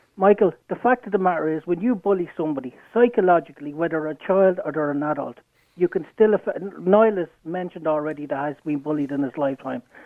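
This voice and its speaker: Speaking very fast, a man with an Irish accent uses a fairly high pitch. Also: ordinary pitch variation. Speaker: caller. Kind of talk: heated debate. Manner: animated.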